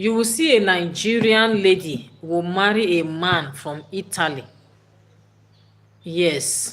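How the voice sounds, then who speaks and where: This woman speaks with a fairly low pitch and ordinary pitch variation. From Nigeria, Edo State (Benin City). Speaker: livestream host. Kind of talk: live stream chat with viewer comments. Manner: conversational, repetitive.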